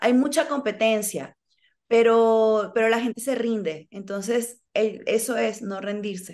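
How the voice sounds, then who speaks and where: Against a quiet background, a woman talks at a fairly high pitch with ordinary pitch variation. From Venezuela. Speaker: actress. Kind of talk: interview. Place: home room. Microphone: video call.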